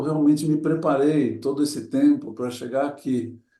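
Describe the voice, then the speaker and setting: A man's dark, mellow voice moves at a moderate pace, with audible room echo around it. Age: 60s. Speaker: adventurer and motivational speaker. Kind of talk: talk to an audience. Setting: talk before a group. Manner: reflective, with hesitations.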